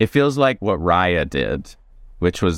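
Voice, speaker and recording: A man talks at a fairly slow pace. He speaks with an American accent. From US South. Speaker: stand-up comedian and author. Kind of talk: casual chat.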